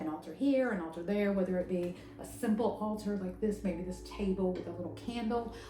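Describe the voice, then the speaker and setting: Noticeable background noise and audible room echo accompany a woman with an American accent talking at a fairly quick pace with fairly even intonation. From US South. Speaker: tarot and pagan spirituality content creator. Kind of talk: educational talk. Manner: casual, hesitant with fillers.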